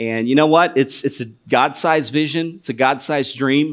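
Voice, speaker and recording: A man with an American accent and an ordinary speaking voice, ordinary pitch variation, on a very clean recording with a silent background. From US Midwest, northwest Ohio. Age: 40s. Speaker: missionary. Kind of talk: sermon. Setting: church.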